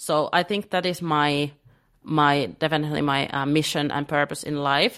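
Her pitch very deep and low, a woman speaks in a Finnish accent with fairly even intonation. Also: moderate pace, quiet background. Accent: Finnish accent in English, non-native. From Finland. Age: 20s. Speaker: business coach. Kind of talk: podcast interview. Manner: hesitant, many fillers.

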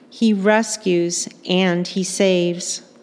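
A woman talks with ordinary pitch variation, noticeable background noise audible behind her. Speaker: liturgist reading scripture. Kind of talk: scripture reading in church. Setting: church.

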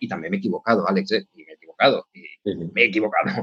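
A man speaks at a very fast pace with vocal fry and very wide pitch swings, in a dry, close sound with no echo. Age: 40s. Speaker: tech executive, CTO. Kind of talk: interview.

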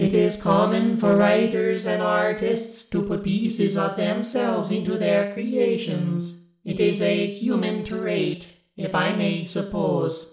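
A put-on character voice speaks at a fairly slow pace in a middle pitch, with a slight echo. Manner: flat, literal, formal phrasing.

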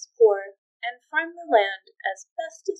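A quiet background behind plain reading aloud

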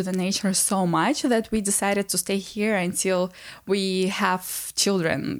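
Her voice sits at a medium pitch for a woman. The background is silent and the recording very clean. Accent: Russian. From Transnistria. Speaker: podcast host, wellness coach. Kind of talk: solo personal monologue. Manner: warm, intimate.

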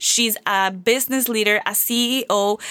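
An energetic, enthusiastic woman's voice with a Spanish accent, fairly high in pitch, with ordinary pitch variation. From Venezuela. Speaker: marketing and personal branding coach. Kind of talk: solo podcast monologue.

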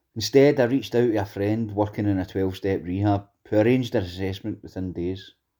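Speaking at a fairly quick pace with hardly any pauses, the voice has a dark, mellow tone, fairly even intonation and a west of Scotland accent, on a very clean recording with a silent background. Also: man, fairly low pitch for a man. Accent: west of Scotland Scottish. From Scotland, Greenock (west of Scotland). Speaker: former prisoner in recovery, actor and school mentor. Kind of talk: personal testimony.

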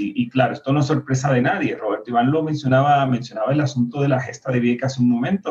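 Somewhat breathy and at a medium pitch, a man speaks at a very fast pace. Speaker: party activist. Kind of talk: panel discussion.

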